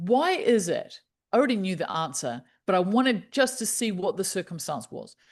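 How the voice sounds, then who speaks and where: A woman speaks at a medium pitch with lively intonation, in a New Zealand accent. The background is quiet. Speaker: happiness specialist. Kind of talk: podcast interview.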